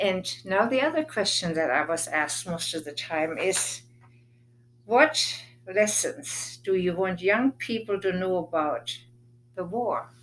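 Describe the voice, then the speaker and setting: A woman speaks with a German accent at a fairly slow pace. Her pitch is medium, with very wide pitch swings. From Germany (Berlin). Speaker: war survivor recounting memories. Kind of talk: personal testimony.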